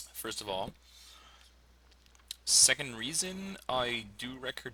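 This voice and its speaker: A man with a French accent speaks in a bright, sharp tone. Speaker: fantasy sports player, English teacher. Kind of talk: live commentary of own draft. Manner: hesitant, many fillers.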